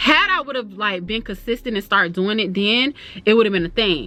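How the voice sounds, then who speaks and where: A woman with an American accent talks at a fairly quick pace in a fairly high, animated voice with lively intonation. Noticeable background noise is present. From Florida. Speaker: YouTuber. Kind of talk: casual chat. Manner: fast.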